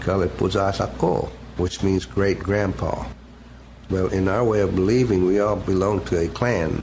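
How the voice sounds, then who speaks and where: Over noticeable background noise, a man talks with an Oklahoma accent in a very deep, low pitch. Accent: Oklahoma Southern American. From Seminole County, Oklahoma. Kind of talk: oral history interview answer.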